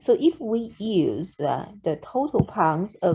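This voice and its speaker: On a very clean recording with a silent background, a woman with a Chinese accent speaks in a dark, mellow, somewhat breathy tone with lively intonation. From China. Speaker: math tutor. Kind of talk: math tutorial narration. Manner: slow, hesitant with fillers.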